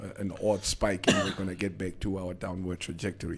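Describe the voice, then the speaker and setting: There is clear background noise throughout. A man's speech runs at a fairly quick pace. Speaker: radio host. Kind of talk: casual chat. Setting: studio.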